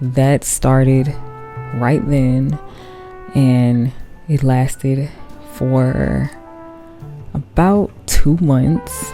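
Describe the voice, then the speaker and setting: Over music in the background, a soft-spoken woman with an American accent speaks at a very slow pace in a relaxed tone and a very deep, low pitch. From Chicago. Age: 20s. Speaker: artist and content creator. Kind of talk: sleep-aid ASMR talk while drawing. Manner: soft-spoken, relaxed, slow.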